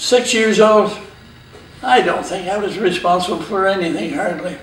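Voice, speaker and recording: A man with a Western Canadian accent, high-pitched with ordinary pitch variation, at a moderate pace, amid noticeable background noise and audible room echo. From Canada, Vancouver Island, British Columbia. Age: 80s+. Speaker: pioneer family elder interviewed about local history. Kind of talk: oral history interview. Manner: casual, halting with fillers.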